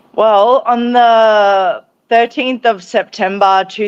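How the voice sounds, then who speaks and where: A woman with an Australian accent, in dry, close sound with no echo and a quiet background. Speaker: author and brain injury survivor. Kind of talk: interview. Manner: halting.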